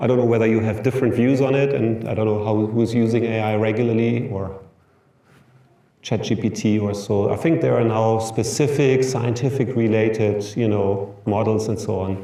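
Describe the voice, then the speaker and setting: In a German accent, a man of medium pitch talks at a moderate pace with fairly even intonation, his voice carrying audible room echo. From Germany. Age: 50s. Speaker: professor. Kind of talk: lecture. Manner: halting.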